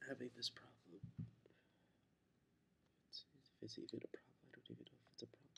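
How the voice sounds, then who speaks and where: A woman whispering, with long, frequent pauses and big swings in loudness. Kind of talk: private video diary confession. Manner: sad, halting, tearful.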